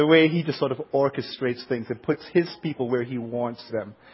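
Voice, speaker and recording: A man with a Jamaican accent at a fairly quick pace. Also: hardly any pauses. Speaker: pastor. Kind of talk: sermon. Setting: church.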